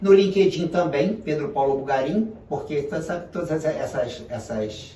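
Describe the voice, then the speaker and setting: With very wide swings in pitch, a man speaks at a moderate pace. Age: 70s. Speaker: business consultant and professor. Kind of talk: interview.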